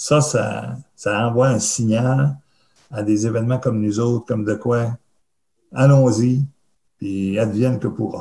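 Speaking in a Quebec accent, a man uses a somewhat breathy, dark, mellow tone at a medium pitch, with fairly even intonation, a very slow pace, and long, frequent pauses. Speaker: festival producer. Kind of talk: interview.

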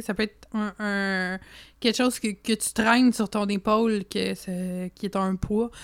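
This woman has a Quebec accent and a medium pitch. Her delivery is flat and monotone, on a very clean recording with a silent background. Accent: French-Canadian. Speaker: podcast co-host. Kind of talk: casual chat.

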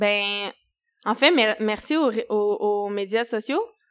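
With ordinary pitch variation, a woman talks at a very slow pace. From Quebec, Eastern Townships (Saint-Césaire). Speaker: chef and restaurant owner. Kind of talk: casual interview.

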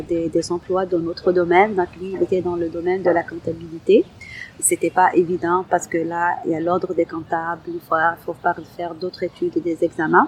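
Her pace moderate, the woman talks at a medium pitch. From Algeria. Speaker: community centre coordinator. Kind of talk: testimony.

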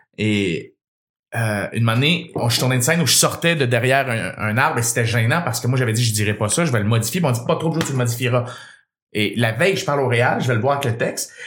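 Speaking very fast in a Quebec accent, the voice sounds animated, with ordinary pitch variation and audible room echo. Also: man, medium pitch for a man. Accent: Québécois French. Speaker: radio host and comedian. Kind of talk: casual chat.

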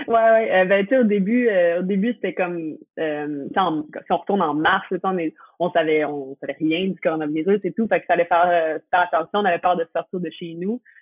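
A woman talks in a fairly low voice with ordinary pitch variation. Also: moderate pace. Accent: Quebec. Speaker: professional skateboarder. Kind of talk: casual chat.

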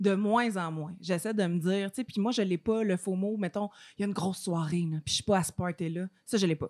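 A woman speaks at a fairly quick pace. Her voice is medium-pitched, with fairly even intonation. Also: dry, close sound with no echo. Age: 30s. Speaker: podcast host. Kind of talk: casual chat.

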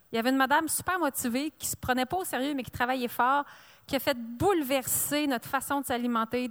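Dry and close with no echo, a woman's high-pitched voice moves at a fairly quick pace. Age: 40s. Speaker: author and entrepreneur. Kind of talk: interview at a live book fair. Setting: live broadcast at book fair.

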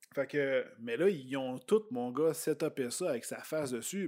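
A man with a Quebec accent speaks at a fairly slow pace. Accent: Québécois French. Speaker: YouTuber and vlogger. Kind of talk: casual chat.

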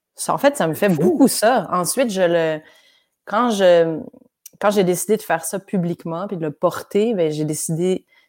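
Delivery is fairly slow. The pitch varies an ordinary amount. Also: woman, medium pitch for a woman. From Quebec, with primary school years in France. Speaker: neoclassical pianist. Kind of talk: casual chat.

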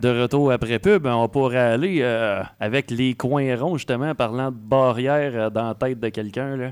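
A man speaks in a plain, everyday voice at medium pitch with ordinary pitch variation. His pace is fairly slow, with hardly any pauses. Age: 30s. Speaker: radio host. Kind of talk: interview.

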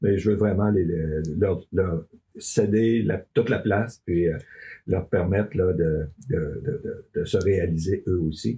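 A man with a Quebec accent speaks at a very slow pace, somewhat breathy and dark, mellow in tone. His pitch is very deep and low, with ordinary variation. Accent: Québécois French. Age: 60s. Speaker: farm union leader. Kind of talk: interview. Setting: studio.

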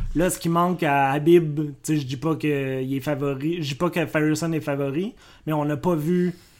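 At a fairly slow pace, a man speaks with a fairly high pitch and fairly even intonation. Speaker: MMA podcast co-host. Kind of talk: casual chat. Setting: shared microphone in same room.

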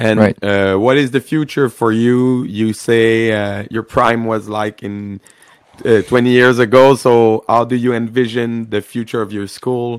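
With a Quebec French accent, a man talks at a fairly slow pace. His medium-pitched voice stays monotone and flat. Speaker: podcast host. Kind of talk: interview.

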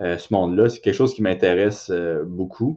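A man speaks in a Quebec accent against a quiet background. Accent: Québécois French. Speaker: MMA fighter and co-host. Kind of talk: casual chat.

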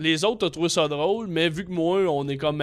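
This is an ordinary speaking voice, a man's with a fairly high pitch. He moves at a moderate pace with lively intonation. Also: very clean recording, silent background. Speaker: comedian. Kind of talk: casual chat.

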